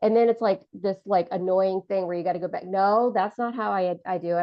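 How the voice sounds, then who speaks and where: Ordinary pitch variation at a fairly quick pace. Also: woman. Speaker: therapist running AI training for clinicians. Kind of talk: online training session. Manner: fast; casual, conversational.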